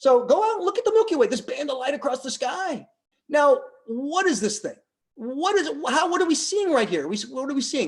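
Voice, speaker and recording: Loud speech at a fairly quick pace over a quiet background. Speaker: astronomy lecturer. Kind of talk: lecture. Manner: halting. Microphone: webcam.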